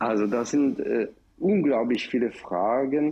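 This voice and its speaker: A man with an Israeli accent at a fairly slow pace, with ordinary pitch variation. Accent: Israeli accent in German, noticeable. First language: Hebrew (speaking German). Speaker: professor and director of an education center. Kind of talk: radio panel discussion. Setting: remote line from another city. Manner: halting, with many fillers.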